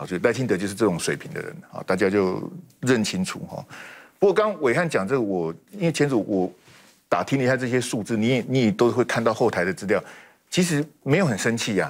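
The voice makes very wide pitch swings at a fairly quick pace against a quiet background. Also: man, medium pitch for a man. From Taiwan. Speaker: political commentator. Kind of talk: TV panel debate. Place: studio. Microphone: lapel.

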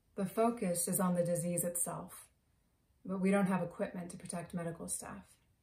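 This woman's voice is somewhat breathy, with a dark, mellow tone and fairly low pitch, delivered at a moderate pace. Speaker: actor performing a monologue. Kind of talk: theatrical monologue. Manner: animated, emotional; conversational, confessional. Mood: emotional, sombre. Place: home room. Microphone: phone near.

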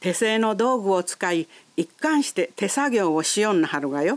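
With an Ehime accent, a woman at medium pitch talks at a fairly slow pace in a dry, close sound with no echo. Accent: Yawatahama dialect, Ehime. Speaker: local guide narrator. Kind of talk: local shop introduction narration.

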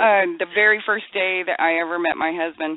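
A woman with an ordinary speaking voice talks at a moderate pace, her pitch fairly low and her intonation fairly even. The sound is dry with no echo. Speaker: caller. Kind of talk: anecdote told on a call-in show. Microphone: phone line.

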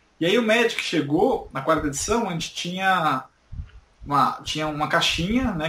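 A man's plain, everyday voice, fairly high in pitch, with lively intonation. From Brazil, São Paulo. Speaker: YouTuber. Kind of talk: interview.

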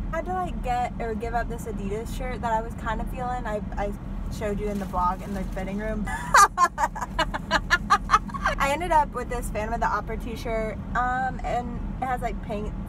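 A woman at a moderate pace with ordinary pitch variation and long, frequent pauses, in a dry sound with no echo over loud background noise. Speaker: vlogger. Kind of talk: casual vlog chat. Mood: cheerful, laughing. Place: car. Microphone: phone near.

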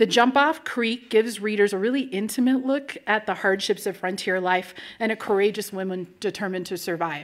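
The speech moves at a fairly quick pace with hardly any pauses and ordinary pitch variation. The background is quiet. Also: woman. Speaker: nonprofit executive director, event host. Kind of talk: welcome and introduction to live event. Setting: stage with audience. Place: hall. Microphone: podium.

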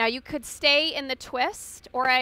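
With a soothing yet bright, sharp tone, a woman speaks with ordinary pitch variation in a dry recording with no echo. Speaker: yoga instructor. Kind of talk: guided yoga class, giving calm step-by-step cues. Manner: soothing, even-paced, gently instructive; warm, lightly humorous. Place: garden.

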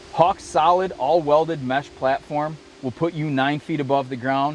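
The man talks at a moderate pace. The sound is dry with no echo, with light background noise. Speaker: outdoor TV show host presenting a product. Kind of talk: product presentation.

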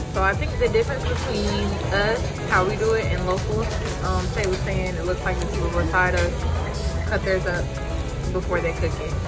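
Moderate pace over loud music in the background. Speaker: vlogger. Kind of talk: casual vlog chat. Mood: relaxed, amused. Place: cafe. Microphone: phone near.

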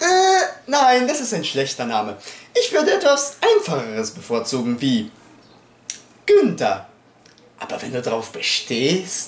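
Audible room echo carries a man's voice as he speaks at a very slow pace with long, frequent pauses. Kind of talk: acted comedy sketch dialogue. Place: home room. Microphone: camera far.

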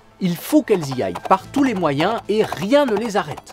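Over clear background music, a man with a high pitch uses a playful tone and very wide pitch swings. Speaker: naturalist storyteller. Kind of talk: educational nature storytelling. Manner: playful, humorous. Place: studio.

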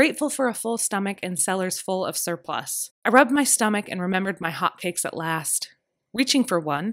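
This is plain reading aloud with lively intonation over a quiet background.

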